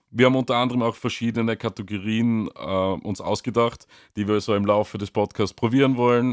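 A man speaks in a monotone at a medium pitch and fairly quick pace, with flat intonation. The sound is dry and close with no echo, in a very clean recording with a silent background. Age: 30s. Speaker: band member podcast host. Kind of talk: casual chat.

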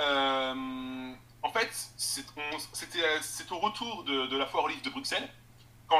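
A man speaks with ordinary pitch variation. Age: 20s. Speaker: assistant editor and online book fair organizer. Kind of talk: interview. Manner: halting.

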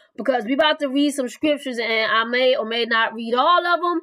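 The pace is fairly quick. Its tone comes across bright and sharp. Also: woman, high pitch for a woman, ordinary pitch variation.

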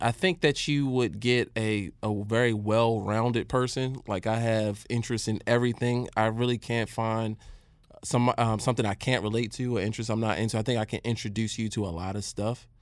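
Speaking in a normal speaking voice with an American accent, a man keeps a moderate pace, a medium pitch and fairly even intonation. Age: 20s. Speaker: podcast co-host. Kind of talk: casual chat.

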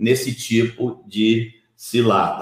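A man's somewhat breathy voice stays at a medium pitch with monotone, flat intonation. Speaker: pastor, Bible teacher. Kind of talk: livestream Bible teaching.

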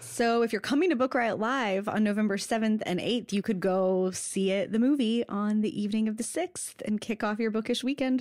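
Speaking at a moderate pace with hardly any pauses, a woman uses an unremarkable speaking voice that sits fairly high for a woman, with very even loudness and ordinary pitch variation. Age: 30s. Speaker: podcast co-host. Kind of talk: casual chat about books. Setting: Skype call.

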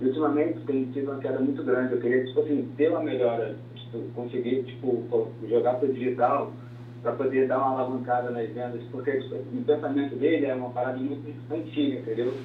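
Through noticeable background noise and audible room echo, a man speaks quite quickly at medium pitch with monotone, flat intonation. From Brazil, Rio de Janeiro. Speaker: caller, public servant. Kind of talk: phone-in question.

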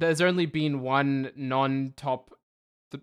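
Background silence and a very clean recording. The voice carries an Australian accent. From Melbourne, Australia. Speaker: podcast host. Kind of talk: casual chat. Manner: rambling, halting, jokey.

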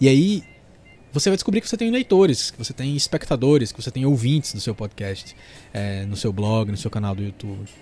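A somewhat breathy, dark, mellow voice at a fairly quick pace, with very wide pitch swings and big swings in loudness. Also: man, medium pitch for a man. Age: 30s. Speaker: podcast host, content creator. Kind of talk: solo monologue podcast, tips.

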